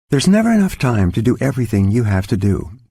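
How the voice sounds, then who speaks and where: In a very clean recording with a silent background, a man speaks in a somewhat breathy voice. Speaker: audiobook author-narrator. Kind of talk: audiobook narration, self-help.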